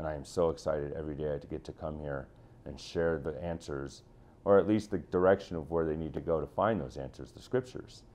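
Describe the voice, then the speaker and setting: With an American accent, a man talks at a fairly quick pace in a very deep, low voice with vocal fry, ordinary pitch variation and big swings in loudness. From Chicago, US Midwest. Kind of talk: interview testimony. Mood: earnest, passionate. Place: office. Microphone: lapel.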